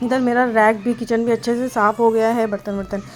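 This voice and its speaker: Noticeable background noise behind a woman's fairly high voice. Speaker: family vlogger. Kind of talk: vlog voice-over narration.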